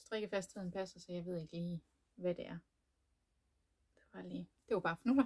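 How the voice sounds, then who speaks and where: Somewhat breathy and fairly low in pitch, a woman speaks at a moderate pace with ordinary pitch variation, long and frequent pauses, and big swings in loudness, all in a dry, close sound with no echo. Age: 30s. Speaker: knitting podcaster. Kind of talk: casual chat. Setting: home room, door locked. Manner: hesitant, many fillers.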